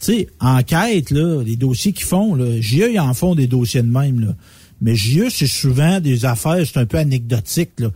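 In a Quebec accent, a man speaks at a medium pitch and a fairly slow pace, his dark, mellow tone somewhat breathy, with lively intonation and very even loudness. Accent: Québécois French. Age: 40s. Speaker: radio co-host. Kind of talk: casual chat.

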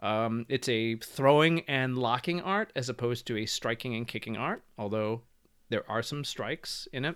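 On a very clean recording with a silent background, a man with an American accent talks at medium pitch and a moderate pace, with ordinary pitch variation. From US suburbs. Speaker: martial arts instructor. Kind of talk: interview. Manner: halting.

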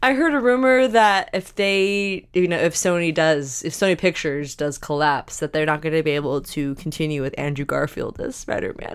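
On a very clean recording with a silent background, a woman with a plain, everyday voice speaks at a fairly low pitch and a moderate pace with lively intonation. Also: hardly any pauses. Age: 20s. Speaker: film podcast co-host. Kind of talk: casual chat.

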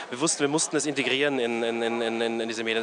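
Behind noticeable background noise, a man speaks with monotone, flat intonation. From Austria, Graz. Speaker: agency head. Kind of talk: interview. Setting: outdoors in a courtyard. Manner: halting, many fillers.

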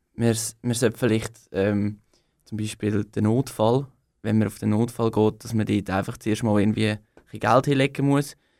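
At a moderate pace and with fairly even intonation, a man with a fairly low pitch speaks in a very clean recording with a silent background. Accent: Aargau. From Switzerland, Aargau. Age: 20s. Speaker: young political candidate. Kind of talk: radio interview. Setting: radio studio. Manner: hesitant, many fillers.

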